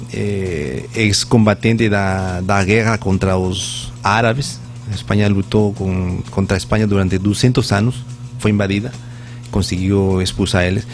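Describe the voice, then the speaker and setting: Over music in the background, a man with a Spanish accent speaks at a fairly slow pace and fairly low pitch, his intonation lively. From Peru, Lima. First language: Spanish (speaking Portuguese). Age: 40s. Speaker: Spanish teacher, former air force sergeant. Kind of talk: radio interview. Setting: radio studio. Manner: halting, mixing Spanish and Portuguese.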